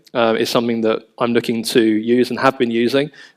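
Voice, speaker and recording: With a London accent, a man speaks at a medium pitch. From London, England. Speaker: family office managing director. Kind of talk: panel discussion. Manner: hesitant, many fillers.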